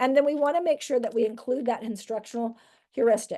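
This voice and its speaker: Against a quiet background, a woman has a dark, mellow tone with ordinary pitch variation. She talks at a fairly quick pace. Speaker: education trainer. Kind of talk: lecture. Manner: fast.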